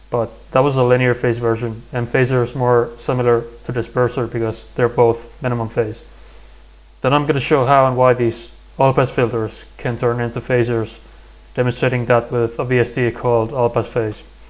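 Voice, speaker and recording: This man has a non-native accent and a medium-pitched voice. He talks at a moderate pace in a flat monotone. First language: not English. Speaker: music production tutorial creator. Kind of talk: tutorial. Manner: halting.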